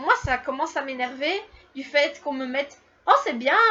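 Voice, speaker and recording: A high-pitched woman speaks at a fairly slow pace. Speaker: YouTuber. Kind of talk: casual Q&A vlog. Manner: hesitant, many fillers.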